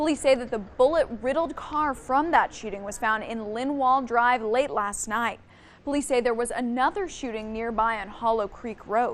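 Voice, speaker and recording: Her American accent comes through as a woman speaks at a moderate pace. She has a high pitch with ordinary pitch variation. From Kansas. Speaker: TV news anchor and reporter. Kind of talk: TV news anchor read.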